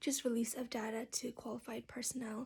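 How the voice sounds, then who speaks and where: Soft-spoken, a woman talks at a fairly high pitch and a fairly quick pace. Her intonation is monotone and flat. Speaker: counseling student. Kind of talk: class video presentation. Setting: open space at home.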